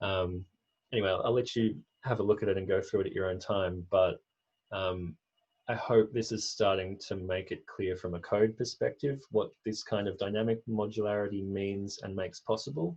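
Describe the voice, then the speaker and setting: A man talks with fairly even intonation in a somewhat breathy voice. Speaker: software developer presenting code. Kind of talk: technical demo walkthrough. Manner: fast.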